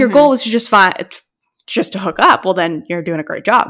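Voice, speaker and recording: This woman has a plain, everyday voice at medium pitch. Her intonation is lively. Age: 20s. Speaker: podcast co-host. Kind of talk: casual chat.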